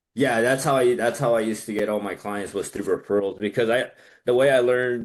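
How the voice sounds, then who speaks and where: This man has a plain, everyday voice with an American accent, medium pitch and ordinary pitch variation. He speaks at a fairly quick pace against a quiet background. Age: 30s. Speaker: business credit consultant. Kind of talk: casual chat.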